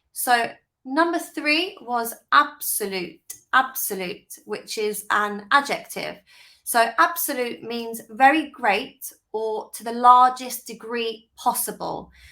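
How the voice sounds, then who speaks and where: Speaking very slowly with a British accent, a woman has a high pitch, a bright, sharp tone, ordinary pitch variation and big swings in loudness. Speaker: English teacher. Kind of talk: tutorial.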